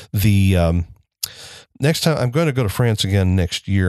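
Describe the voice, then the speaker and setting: A man speaks with a very deep, low pitch. The sound is dry and close with no echo, over a quiet background. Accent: American. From US Midwest, Elkhart, Indiana. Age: 60s. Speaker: podcast host and community theater director. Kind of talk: solo casual monologue. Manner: halting, many fillers.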